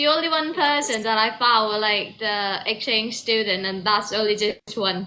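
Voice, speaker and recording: A woman speaks with a British accent at a moderate pace, her pitch fairly high with ordinary variation. There are hardly any pauses. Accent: British-sounding English. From southern Thailand, Trang. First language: Thai. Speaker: university student. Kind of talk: casual chat. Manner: halting, repeats words.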